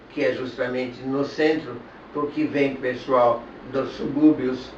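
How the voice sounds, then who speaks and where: With noticeable background noise and audible room echo, a man of medium pitch speaks at a very slow pace. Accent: German. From Germany (Berlin). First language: German (speaking Portuguese). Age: 80s+. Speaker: author and Holocaust-era refugee. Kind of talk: interview. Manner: halting.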